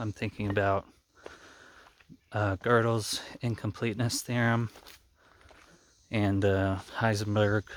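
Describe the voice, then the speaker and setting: A man's fairly low-pitched, monotone voice with flat intonation, a fairly slow pace and long, frequent pauses. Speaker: channel host, math graduate. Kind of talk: casual monologue. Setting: outdoors, walking in the woods. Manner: hesitant, many fillers.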